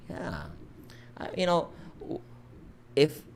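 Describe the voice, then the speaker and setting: A man with a Filipino accent. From Philippines, Mindanao. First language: Visayan. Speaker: live stream host. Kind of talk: casual chat.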